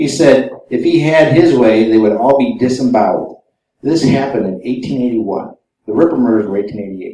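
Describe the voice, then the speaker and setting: A man's medium-pitched, dark and mellow voice in an American accent, at a moderate pace with ordinary pitch variation and audible room echo. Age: 50s. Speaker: author and researcher. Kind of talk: lecture.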